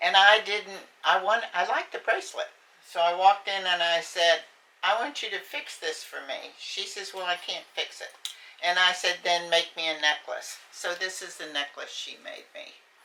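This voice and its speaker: A woman at a medium pitch and moderate pace, with ordinary pitch variation, big swings in loudness and noticeable background noise. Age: 80s+. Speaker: retired county worker and parent. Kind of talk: personal testimony interview. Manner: halting.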